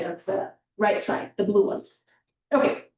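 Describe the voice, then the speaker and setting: The woman speaks at a medium pitch in a dark, mellow tone. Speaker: public health presenter. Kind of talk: presentation.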